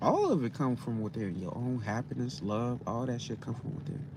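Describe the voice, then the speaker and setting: A man at a medium pitch with vocal fry, at a fairly quick pace. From US Midwest, Gary, Indiana. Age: 30s. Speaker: tarot reader. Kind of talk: live stream reading. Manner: casual, profane.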